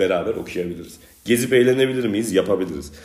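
Speaking at a very fast pace, a man with a medium pitch and ordinary pitch variation is heard with audible room echo. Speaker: podcast host. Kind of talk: casual chat.

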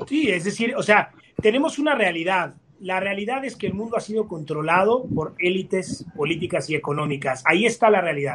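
Lively intonation from a man with a high pitch, at a fairly quick pace, over noticeable background noise. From Mexico. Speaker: architect. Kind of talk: debate. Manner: halting.

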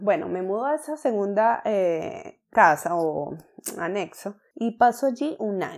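A woman's fairly high voice with lively intonation, in a very clean recording with a silent background. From Venezuela. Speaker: entrepreneurship podcaster. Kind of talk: casual personal story monologue.

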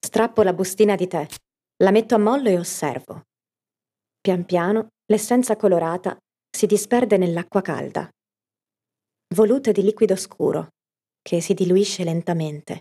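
Her tone dark and mellow, a woman talks with ordinary pitch variation and long, frequent pauses. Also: medium pitch for a woman, moderate pace. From Italy, Piacenza (Emilia). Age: 30s. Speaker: podcast narrator, storyteller and actress. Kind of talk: scripted narration.

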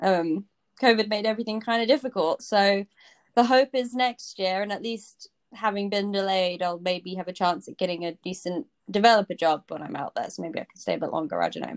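A woman with a British accent speaks fairly quickly at a medium pitch, with ordinary pitch variation, big swings in loudness and a dry, close sound with no echo. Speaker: coding bootcamp student. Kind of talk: casual chat. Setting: video call.

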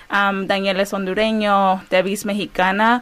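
Amid noticeable background noise, a woman of medium pitch talks at a fairly slow pace. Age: 20s. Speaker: community organizer and former educator. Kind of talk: radio interview.

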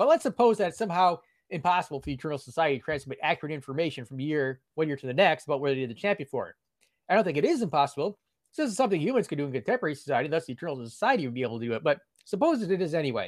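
Fairly high for a man, his voice races along very fast with lively intonation, dry and close with no echo, on a very clean recording with a silent background. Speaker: guest, blogger and apologetics writer. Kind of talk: interview explaining philosophical argument. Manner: fast talker.

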